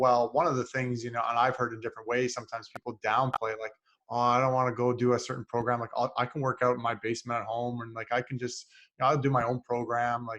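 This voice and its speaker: Delivered at a very fast pace, the speech has monotone, flat intonation and a Canadian accent. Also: man, medium pitch for a man. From Canada, North Bay, Ontario. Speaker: podcast host, mental performance coach. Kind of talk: casual interview chat. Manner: halting, many filler words.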